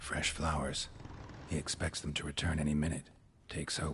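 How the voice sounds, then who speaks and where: Over clear background noise, someone does a put-on character voice at a fairly quick pace. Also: man, very deep, low pitch for a man. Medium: video game. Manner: terse, clipped, dry.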